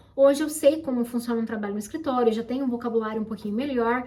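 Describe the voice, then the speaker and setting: Animated, high-pitched speech from a woman with noticeable background noise behind her. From Brazil. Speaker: YouTuber, immigrant office worker. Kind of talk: casual chat.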